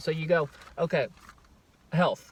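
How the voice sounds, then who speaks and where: A man talks loudly at a fairly quick pace in a passionate tone. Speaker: self-help vlogger. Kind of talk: casual self-help vlog talk. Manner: fast; loud, passionate.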